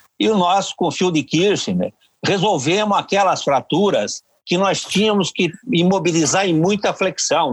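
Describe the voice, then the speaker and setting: At a fairly slow pace, a man speaks in a high pitch with very even loudness. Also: ordinary pitch variation. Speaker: orthopedic surgeon, professor. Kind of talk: interview. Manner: halting.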